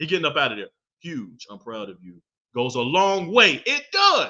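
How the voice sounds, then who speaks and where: A man speaks in an animated tone at a moderate pace. His loudness swings widely. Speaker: podcast host. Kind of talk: casual monologue podcast.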